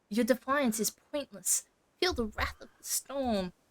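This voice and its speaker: In a put-on character voice that sounds female, the speaker talks fairly slowly at a high pitch. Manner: menacing, theatrical.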